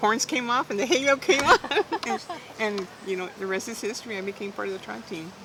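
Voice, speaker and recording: A woman with a medium pitch talks at a fairly quick pace, with lively intonation and big swings in loudness, over noticeable background noise. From South Texas. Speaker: arm wrestler. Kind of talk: oral history interview answer. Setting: outdoors. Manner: lively storytelling.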